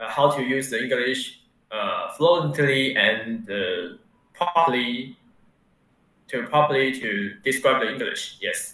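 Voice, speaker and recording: A man with a Mandarin accent speaks at a fairly slow pace and fairly high pitch. Room echo is audible. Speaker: university student. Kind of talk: interview. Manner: halting, many fillers.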